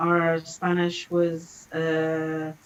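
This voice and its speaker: A woman with a fairly low voice speaks in a London accent. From London, England. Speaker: language school director. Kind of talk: casual interview. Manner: halting.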